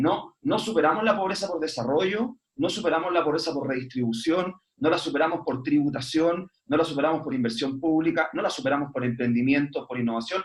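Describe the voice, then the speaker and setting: A man with a fairly high pitch, lively intonation and a fairly quick pace. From Chile. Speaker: foundation executive director. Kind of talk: online panel talk. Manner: fast; animated, repetitive stumbling.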